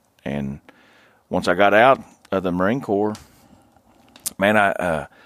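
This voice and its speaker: In an Appalachian accent, the voice moves at a fairly slow pace with lively intonation, in a dry, close sound with no echo. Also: man. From West Virginia. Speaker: hunter. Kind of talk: casual chat.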